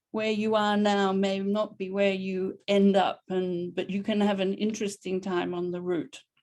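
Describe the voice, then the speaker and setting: Against a quiet background, a woman speaks at a moderate pace in an Australian accent. Her tone is dark and mellow. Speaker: professor. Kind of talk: lecture.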